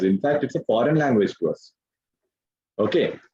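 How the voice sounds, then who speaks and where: This speaker has an Indian accent. The pace is moderate. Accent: Indian English, Telugu. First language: Telugu. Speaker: English grammar teacher. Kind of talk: online class lecture.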